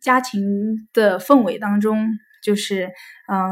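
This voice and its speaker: A woman's fairly high voice, ordinary pitch variation, a very slow pace. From Hefei, Anhui, China. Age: 30s. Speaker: staff at a psychology counseling center. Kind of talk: interview sharing life story. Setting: recorded at a psychology center office. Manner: hesitant with many fillers.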